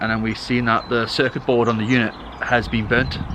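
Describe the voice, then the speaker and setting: Here a man speaks at a medium pitch and a fairly quick pace. Noticeable background noise is present. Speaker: family vlogger. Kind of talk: casual vlog chat. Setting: outdoors at a train station. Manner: fast.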